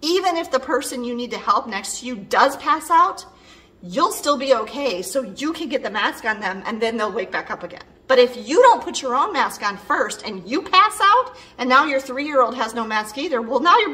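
A woman's raised, projected voice moves at a moderate pace with very wide pitch swings and big swings in loudness. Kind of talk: casual explainer vlog. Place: home room. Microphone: phone near.

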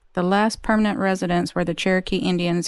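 A woman speaks with fairly even intonation in a dry, echo-free sound against a quiet background. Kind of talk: reading a sign aloud. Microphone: phone near.

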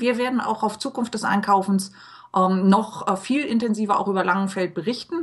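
A woman speaks at a moderate pace, somewhat breathy, with ordinary pitch variation. The background is quiet. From Hamburg, Germany. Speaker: podcast host and blogger; podcast host, blogger. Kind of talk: interview. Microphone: webcam.

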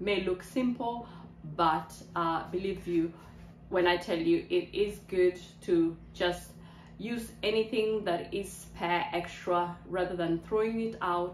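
A woman speaks at a very slow pace with ordinary pitch variation. The room echo is audible, and there is light background noise. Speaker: lifestyle vlogger. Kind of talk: casual vlog chat. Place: kitchen. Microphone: phone near.

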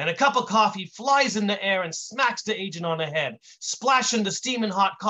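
Lively intonation marks the delivery. The text is read aloud in a natural voice.

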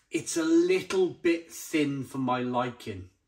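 A man talks at a very slow pace with a fairly high pitch. His pitch variation is ordinary. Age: 40s. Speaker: beer reviewer. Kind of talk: product review. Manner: animated. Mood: enthusiastic, jovial. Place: kitchen. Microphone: phone near.

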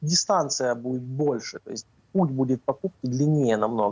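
The voice belongs to a man. No echo colors the dry sound. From Ukraine. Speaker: navy spokesperson. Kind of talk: live TV interview. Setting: remote link-up. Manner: frequent hesitations. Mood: calm, analytical. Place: office. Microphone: video call.

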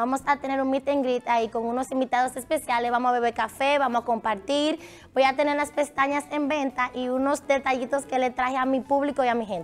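A woman's high voice at a fairly quick pace, with hardly any pauses. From Dominican Republic, Santiago. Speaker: actress and social media personality. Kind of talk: TV interview. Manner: animated.

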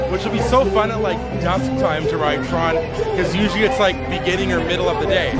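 A man talks in dry sound with no echo while loud music plays in the background. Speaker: vlogger. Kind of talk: casual vlog chat. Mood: cheerful, upbeat. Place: street. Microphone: phone near.

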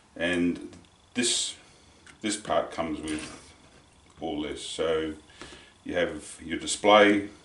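Over light background noise and with audible room echo, a man talks at a very slow pace. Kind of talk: tutorial. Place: workshop.

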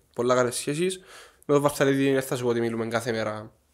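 Against a quiet background, a man in a Cypriot accent speaks with ordinary pitch variation. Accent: Cypriot Greek. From Cyprus. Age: 20s. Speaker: chef, former cooking show contestant; podcast guest. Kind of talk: casual interview. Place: home room. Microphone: studio mic.

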